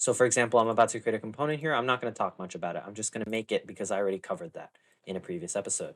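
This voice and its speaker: A man at a medium pitch, very fast pace, ordinary pitch variation and big swings in loudness. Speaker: programming tutorial creator. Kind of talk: tutorial. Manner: casual with many fillers.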